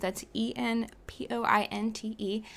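A woman with an American accent speaks in a fairly high pitch with a bright, sharp tone. The recording is very clean, with a silent background. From Pittsburgh, US. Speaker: social media manager. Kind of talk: casual interview.

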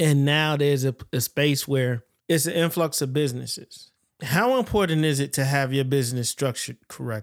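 A man with an American accent has a plain, everyday voice, fairly high in pitch with ordinary pitch variation. He talks at a moderate pace, and the sound is dry and close with no echo. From US South, Florida Panhandle. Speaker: podcast host. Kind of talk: casual chat.

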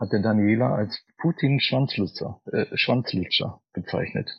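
This is a man with a fairly low pitch. He talks at a fairly slow pace. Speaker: cabaret artist and composer. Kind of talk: interview.

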